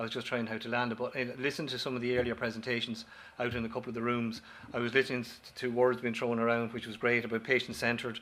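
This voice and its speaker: This man talks at a very fast pace in an Irish accent. His intonation stays monotone and flat. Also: medium pitch for a man. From Ireland. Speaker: company director, former paramedic. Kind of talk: conference presentation. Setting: auditorium with audience. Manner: halting, with false starts and repetitions.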